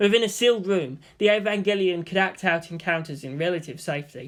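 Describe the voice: Fairly quick speech in a fairly bright tone with ordinary pitch variation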